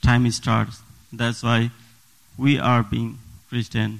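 A man with a Nepali accent speaks at a very slow pace and medium pitch. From Bhutan, Nepali community. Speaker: church deacon giving testimony. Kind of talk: testimony. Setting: church. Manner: halting, non-native phrasing.

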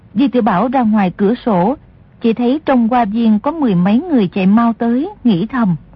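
With ordinary pitch variation, the clip features reading aloud in a natural voice.

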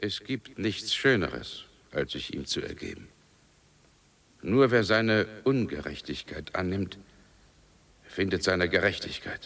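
A man puts on a character voice, low-pitched with vocal fry and a fairly bright tone. He talks at a slow pace with big pitch swings and long, frequent pauses.

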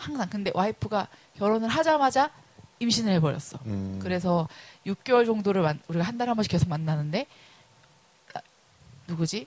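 Her tone animated, a woman of medium pitch makes very wide pitch swings and takes long, frequent pauses. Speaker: podcast host. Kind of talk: casual chat.

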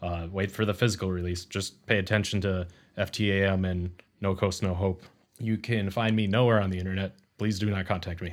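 A man speaks with an American accent at a fairly quick pace. His intonation is monotone and flat. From US Midwest, Milwaukee, Wisconsin. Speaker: noise musician. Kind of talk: casual interview chat. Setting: remote video call.

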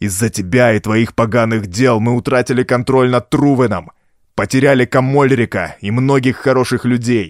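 The reading is done aloud in a natural voice. Intonation remains fairly even.

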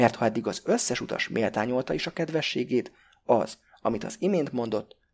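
Plain reading aloud comes with lively intonation.

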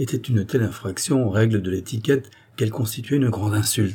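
The voice reads naturally. Pitch moves with ordinary variation.

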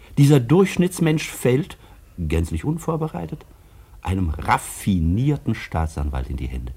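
In a put-on character voice, a man speaks slowly-ish at a fairly low pitch, his dark, mellow tone carrying a slightly husky edge and big pitch swings.

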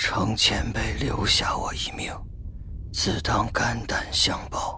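Whispering in a put-on character voice, a man speaks at a fairly slow pace. Clear background noise is present. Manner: strained, difficult.

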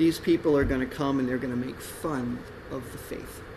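Room echo is audible, along with noticeable background noise. A man with an American accent talks at a fairly quick pace, his intonation fairly even. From Texas. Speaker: pastor. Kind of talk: sermon.

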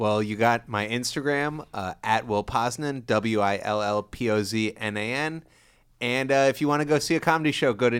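His pitch is medium, and its variation is ordinary. The man uses an ordinary speaking voice at a moderate pace. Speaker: podcast co-host. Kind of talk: casual chat. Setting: studio. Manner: laughs often.

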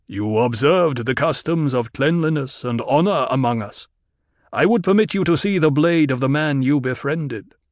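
A man's voice sits at a fairly high pitch and moves with lively intonation. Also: moderate pace, quiet background. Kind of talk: audiobook full-cast drama. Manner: proud, formal, unhurried.

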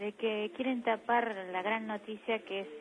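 The voice has a Buenos Aires accent. Its pitch moves very little. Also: woman, medium pitch for a woman, moderate pace. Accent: Argentine, Buenos Aires area.

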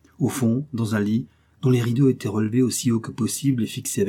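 Intonation stays fairly even in this plain reading aloud.

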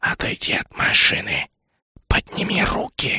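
This put-on character voice is raspy and hissing, delivered at a moderate pace. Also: man, extremely high pitch for a man. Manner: commanding, aggressive.

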